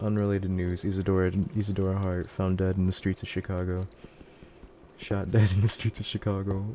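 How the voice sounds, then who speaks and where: Mumbling at a fairly quick pace, a man speaks in a very deep, low voice with flat, monotone intonation. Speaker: VTuber streamer. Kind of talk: live gaming stream.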